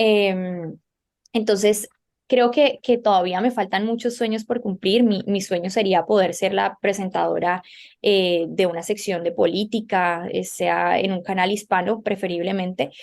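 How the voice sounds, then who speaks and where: A woman talks at a fairly slow pace in an unremarkable speaking voice. The recording is very clean, with a silent background. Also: medium pitch for a woman, fairly even intonation. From Colombia. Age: young. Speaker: journalist and TV presenter. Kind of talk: interview.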